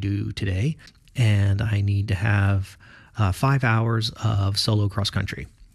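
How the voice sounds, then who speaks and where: A man's somewhat breathy voice at a moderate pace. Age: 40s. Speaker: podcaster and student pilot. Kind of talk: solo podcast monologue. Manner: halting.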